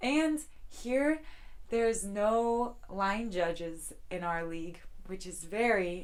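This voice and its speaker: The voice carries an American accent and ordinary pitch variation. Audible room echo surrounds it. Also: woman. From United States. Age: 20s. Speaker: volleyball player. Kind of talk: documentary interview. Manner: casual, with frequent fillers.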